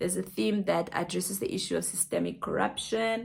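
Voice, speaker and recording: The voice moves at a fairly quick pace with very wide pitch swings and vocal fry. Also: woman. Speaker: podcast host. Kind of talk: book review podcast.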